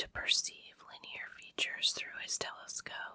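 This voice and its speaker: Someone whispers in a calm tone. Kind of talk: ASMR book reading. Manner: whispered; calm, relaxing.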